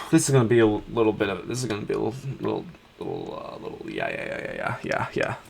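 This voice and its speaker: The speech moves at a very fast pace. Noticeable background noise is present. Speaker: gaming video creator. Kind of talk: casual gameplay commentary. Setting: home at computer, late night. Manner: quiet.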